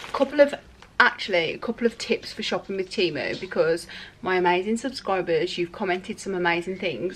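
Lively intonation marks this woman's fairly quick delivery. Light background noise is present. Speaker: lifestyle vlogger. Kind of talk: casual vlog chat. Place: home room. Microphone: phone near.

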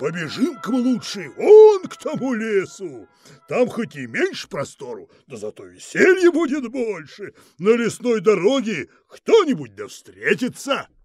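A woman performs a put-on character voice at a moderate pace with music in the background. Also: fairly high pitch for a woman. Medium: read story. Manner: steady, knowing, mocking.

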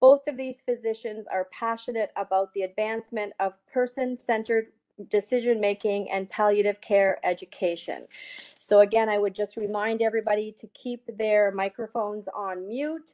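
Speaking with fairly even intonation, a woman keeps to a moderate pace. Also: medium pitch for a woman, slightly mellow tone.

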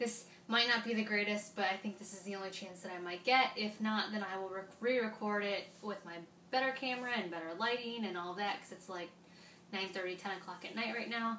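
A woman speaks at a fairly quick pace with fairly even intonation, with audible room echo and light background noise. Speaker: parenting vlogger. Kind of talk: casual vlog chat. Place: home room. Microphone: camera far.

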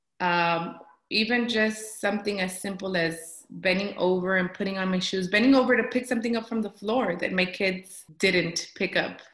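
A woman in an American accent at a medium pitch and moderate pace, fairly even intonation, hardly any pauses, audible room echo and a quiet background. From South Texas. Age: 30s. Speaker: patient. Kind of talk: testimony. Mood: earnest, positive about the program. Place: home room. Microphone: webcam.

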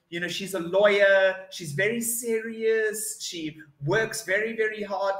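A man with a South African accent projects a raised, high-pitched voice at a fairly slow pace with ordinary pitch variation. There is audible room echo over a quiet background. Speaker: online English tutor. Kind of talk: online English lesson conversation. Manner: upbeat, spontaneous. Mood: cheerful, chatty. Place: home room. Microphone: video call.

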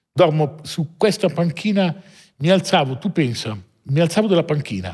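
In a quiet background, a man speaks with lively intonation and a somewhat breathy voice. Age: 40s. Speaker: watch dealer, entrepreneur; podcast guest. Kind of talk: interview, life story. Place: studio. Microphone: studio mic.

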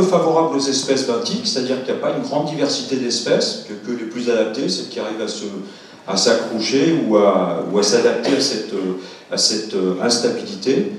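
A man speaks at a moderate pace with very wide pitch swings. There is strong room echo and light background noise. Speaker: scientist giving a public lecture. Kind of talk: lecture. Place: hall.

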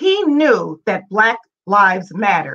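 A woman at a fairly slow pace, her pitch swinging very widely, over a quiet background. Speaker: host organization representative. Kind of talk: prepared introductory remarks. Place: home room. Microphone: webcam.

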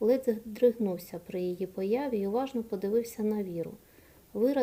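Someone is reading aloud in a natural voice, the pitch shifting in an ordinary way.

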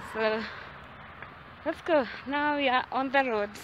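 Against noticeable background noise, a woman uses a raised, projected voice at a high pitch and a very slow pace, with a dry sound and no echo. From Kenya, central (Limuru area); Kenya. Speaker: vlogger. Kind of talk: casual vlog talk to camera. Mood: nostalgic, cheerful. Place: farm. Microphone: phone near.

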